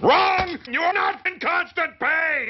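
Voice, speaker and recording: A cartoonish character voice shouts at a fairly slow pace. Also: man, extremely high pitch for a man. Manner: authoritative.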